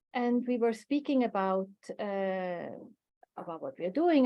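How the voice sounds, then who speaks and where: A woman with a non-native accent, fairly high pitch, ordinary pitch variation, and a moderate pace. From Switzerland. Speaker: coach and workshop facilitator. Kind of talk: online workshop talk. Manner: hesitant, many fillers.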